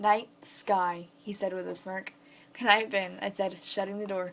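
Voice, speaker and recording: This is a woman talking at a medium pitch. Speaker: fan fiction reader. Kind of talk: reading aloud; casual chat. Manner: fast; halting.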